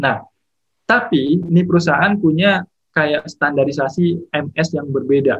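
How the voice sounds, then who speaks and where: A man speaks in a plain, everyday voice, fairly high in pitch with ordinary pitch variation. He goes at a fairly slow pace. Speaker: petroleum geologist. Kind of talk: casual interview chat.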